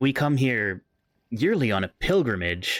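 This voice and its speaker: A man performs a put-on character voice. It sits at a medium pitch. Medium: actual play. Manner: hesitant, polite.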